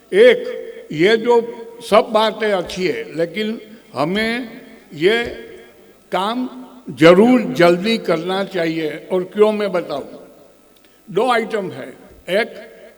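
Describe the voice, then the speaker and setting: A high-pitched man talks at a very slow pace, with long, frequent pauses and ordinary pitch variation. Noticeable background noise and audible room echo surround him. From Gujarat, India. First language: Gujarati (speaking Hindi). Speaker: senior lawyer. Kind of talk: conference speech. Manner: halting.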